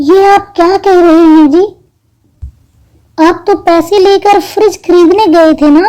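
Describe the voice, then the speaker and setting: A woman's cartoonish character voice, extremely high in pitch, with very even loudness, fairly even intonation, a moderate pace and long, frequent pauses. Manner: gentle, warm.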